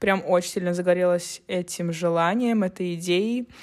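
A woman's voice with ordinary pitch variation on a very clean recording with a silent background. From St. Petersburg, Russia. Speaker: podcast co-host, photographer. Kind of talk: casual chat.

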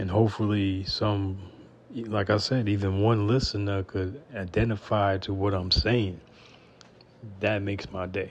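In a fairly low, somewhat breathy voice, a man talks fairly slowly with monotone, flat intonation. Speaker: podcast host. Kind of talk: personal monologue. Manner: informal, unpolished.

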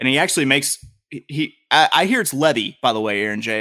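A man with a Southern US accent speaks at a very fast pace in a bright, sharp tone. The recording is very clean with a silent background. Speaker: podcast co-host. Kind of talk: casual banter about sports.

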